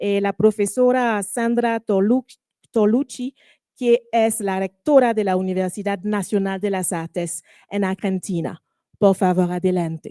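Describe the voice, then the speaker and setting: A woman speaks with a French accent at a fairly slow pace, her fairly high pitch carrying ordinary pitch variation and a dark, mellow tone, in a dry, close sound with no echo on a very clean recording with a silent background. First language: French (speaking Spanish). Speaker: panel moderator. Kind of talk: panel moderation. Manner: halting, many fillers.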